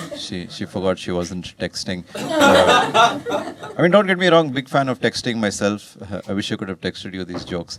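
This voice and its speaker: A man talks at a moderate pace with a medium pitch. Noticeable background noise runs under his voice. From India. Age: 30s. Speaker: comedian. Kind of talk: stand-up. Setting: stage with audience. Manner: low-energy; deadpan.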